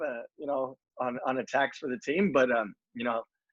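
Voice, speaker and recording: A man talks with an American accent. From US West Coast, Southern California (Los Alamitos). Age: 30s. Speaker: professional soccer player. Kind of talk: interview. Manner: hesitant, many fillers and repeats.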